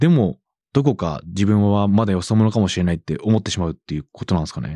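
In a dry, close recording that is very clean with a silent background, a man speaks in a fairly low pitch with a dark, mellow tone. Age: 30s. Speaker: radio host and rapper. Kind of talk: interview.

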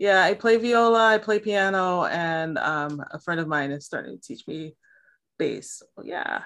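In an American accent, a woman with a plain, everyday voice speaks at a fairly slow pace and medium pitch, her intonation lively and her loudness swinging widely over a quiet background. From Milwaukee, Wisconsin, US Midwest. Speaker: poet and writing teacher. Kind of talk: casual interview.

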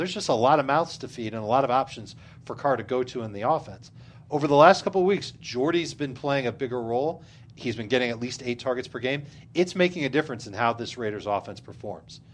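Speaking at a very fast pace, a man has a medium pitch with ordinary pitch variation. His loudness swings a lot. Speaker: fantasy football podcast host. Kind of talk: casual banter with fantasy football analysis. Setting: studio in a room with co-hosts around small table.

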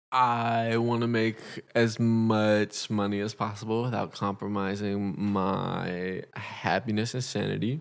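A man with a Californian accent, a fairly low pitch and monotone, flat intonation. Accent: Californian American. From Los Angeles, California. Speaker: podcast guest, host's boyfriend. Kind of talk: casual chat.

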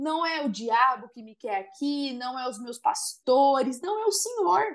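A woman's high-pitched voice at a fairly slow pace with very wide pitch swings. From Brazil, Viradouro (São Paulo state). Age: 30s. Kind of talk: casual chat.

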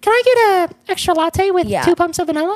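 This put-on character voice is squeaky and extremely high, delivered at a fairly quick pace. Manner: exaggerated, put-on, sounding silly.

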